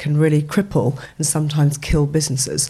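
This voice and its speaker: This woman has a very deep, low pitch and talks at a moderate pace with monotone, flat intonation. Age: 50s. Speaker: startup co-founder. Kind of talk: casual interview. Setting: studio.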